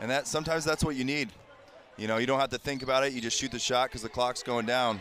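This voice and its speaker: Noticeable background noise surrounds a man talking at a very fast pace. His medium-pitched voice has an upbeat tone. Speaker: color analyst. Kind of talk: live color commentary. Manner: conversational analyst, upbeat and explanatory.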